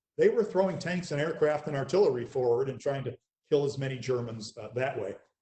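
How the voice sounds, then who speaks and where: Here a man is talking. He goes at a fairly quick pace. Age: 60s. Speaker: military historian. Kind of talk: interview.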